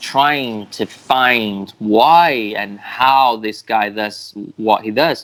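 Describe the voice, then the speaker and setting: This man talks with a British accent and moves his pitch up and down in an ordinary way. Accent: British-sounding English. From Brazil. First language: Portuguese. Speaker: mentalist. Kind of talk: interview. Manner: halting.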